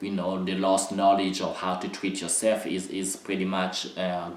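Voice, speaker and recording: Over noticeable background noise and audible room echo, a man with a non-native accent speaks in a very deep, low pitch. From Republic of Congo. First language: not English. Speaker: dance artist and choreographer. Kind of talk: educational talk. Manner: halting, many fillers.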